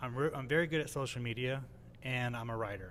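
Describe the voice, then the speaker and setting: A man with an American accent is heard with audible room echo. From California. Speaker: MMA journalist. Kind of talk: casual chat. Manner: fast, filler-heavy.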